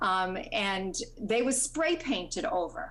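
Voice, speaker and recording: A woman's voice with audible room echo. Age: 60s. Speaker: landowner speaking at public hearing. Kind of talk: public comment at planning board hearing. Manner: halting, many fillers.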